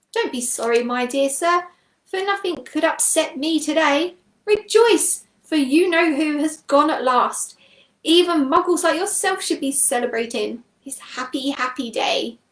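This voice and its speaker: A woman puts on a squeaky character voice at a high pitch. She speaks at a moderate pace. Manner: gleeful, rejoicing.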